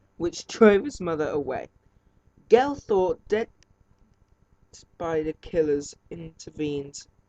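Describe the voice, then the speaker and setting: The speech comes at a very slow pace with long, frequent pauses. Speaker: film reviewer. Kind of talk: film review, partly reading plot summary aloud. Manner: halting, stumbling while reading.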